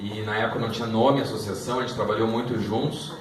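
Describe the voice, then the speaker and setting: Noticeable background noise and audible room echo surround a man who speaks at a medium pitch with a southern Brazilian accent. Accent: southern Brazilian (gaúcho). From southern Brazil, Porto Alegre. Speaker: lawyer. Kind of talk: presentation to an audience. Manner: halting, with repetitions.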